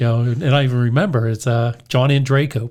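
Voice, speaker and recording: A man with an American accent talks at a moderate pace in a medium pitch, a plain, everyday voice. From US, Pittsburgh area, western Pennsylvania. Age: 60s. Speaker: hardware store owner and radio show host. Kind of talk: casual interview, storytelling.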